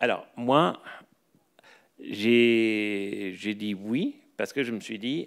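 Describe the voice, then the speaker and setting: The speaker is a man whose intonation stays fairly even. The background is quiet. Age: 40s. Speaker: professor of anthropology and sociology; professor of anthropology. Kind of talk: lecture. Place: hall. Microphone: podium.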